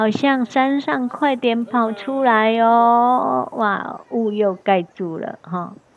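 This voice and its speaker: A woman's fairly high voice at a very slow pace, with hardly any pauses and ordinary pitch variation. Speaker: travel tour guide and video host. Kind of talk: on-location travel commentary. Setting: outdoors on a tour. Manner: animated, chatty with frequent particles.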